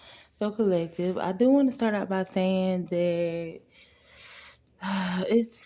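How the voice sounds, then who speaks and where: A quiet woman at a fairly slow pace, medium in pitch, with lively intonation. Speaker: spiritual reader / tarot channel host. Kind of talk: casual direct-to-camera spiritual message. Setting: at home, kids asleep. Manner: speaking quietly.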